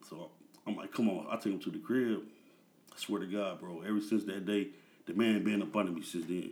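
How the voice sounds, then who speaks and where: A man with an American accent talks at a fairly quick pace. He uses ordinary pitch variation and takes long, frequent pauses. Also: fairly low pitch for a man. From Peoria, Illinois, US Midwest. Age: 30s. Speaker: music manager. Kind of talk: casual chat.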